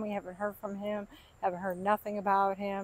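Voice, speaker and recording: A woman's voice comes through dry, with no echo. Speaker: vlogger. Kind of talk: casual vlog chat. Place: garden. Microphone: phone near.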